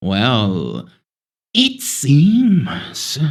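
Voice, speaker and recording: A man speaks in a put-on character voice. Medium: actual play. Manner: slow, bargaining.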